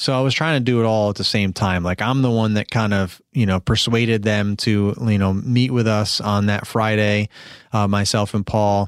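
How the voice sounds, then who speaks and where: An American-accented man at a moderate pace, fairly even intonation and very even loudness, on a very clean recording with a silent background. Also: fairly low pitch for a man. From New York. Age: 40s. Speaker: podcast host, lawn care business owner. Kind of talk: casual solo podcast monologue. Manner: rambling, many fillers and restarts.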